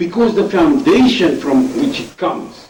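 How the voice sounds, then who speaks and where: A man with a high pitch at a fairly slow pace, over noticeable background noise. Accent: non-native. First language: not English. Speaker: debater. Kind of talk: debate.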